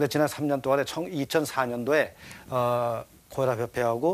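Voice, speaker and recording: His voice sits at a medium pitch for a man, and the pitch varies in an ordinary way. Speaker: doctor. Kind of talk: health talk. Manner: fast; frequent filler 'eo' hesitations.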